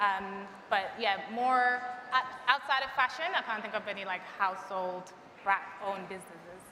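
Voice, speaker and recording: A woman speaks at a moderate pace and medium pitch, with ordinary pitch variation. Her loudness swings widely over noticeable background noise. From Jamaica. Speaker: brand partnerships manager, panelist. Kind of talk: panel discussion.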